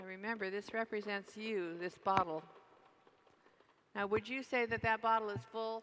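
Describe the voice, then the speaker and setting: Soft-spoken, a woman talks with long, frequent pauses. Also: medium pitch for a woman, fairly even intonation, moderate pace. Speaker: network marketing distributor. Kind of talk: convention keynote speech. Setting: large convention hall PA.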